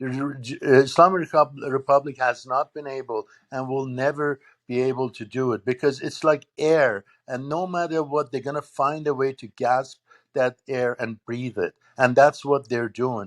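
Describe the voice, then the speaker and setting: In a very clean recording with a silent background and a dry, close sound free of echo, a man with an unremarkable speaking voice talks at a moderate pace and medium pitch, his intonation fairly even but his loudness swinging widely. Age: 60s. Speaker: political commentator. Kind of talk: panel discussion.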